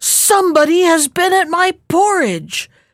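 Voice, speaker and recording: A woman uses a put-on character voice with extremely high pitch, speaking at a fairly slow pace. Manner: grumbling.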